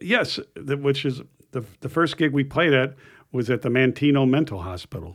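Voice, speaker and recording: In a very clean recording with a silent background, a man with vocal fry speaks at a medium pitch and moderate pace with lively intonation. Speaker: guitarist. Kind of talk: casual chat.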